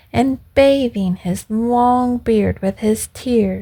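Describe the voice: Someone is reading aloud. The delivery is plain.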